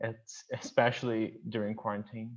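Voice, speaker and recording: Someone with a Portuguese accent speaks at a fairly slow pace. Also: man. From Brazil, São Paulo state, Campinas. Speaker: university student. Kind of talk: casual self-introduction.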